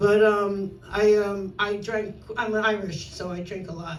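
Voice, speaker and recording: At a fairly slow pace, the speaker is heard with audible room echo and noticeable background noise. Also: woman. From New York, Brooklyn. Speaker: stand-up comedian. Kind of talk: stand-up. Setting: stage with audience.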